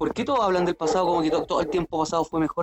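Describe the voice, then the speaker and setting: With music in the background, a man with a Chilean accent speaks in a high voice. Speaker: podcast co-host. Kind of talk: casual chat.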